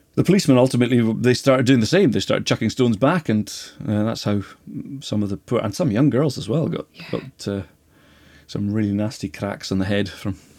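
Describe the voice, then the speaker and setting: A man with a Highland Scottish accent, medium-pitched, lively in intonation, at a fairly quick pace. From Scottish Highlands and Islands (Lewis, then Skye). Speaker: Gaelic lecturer and bookseller. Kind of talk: casual interview chat. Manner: halting.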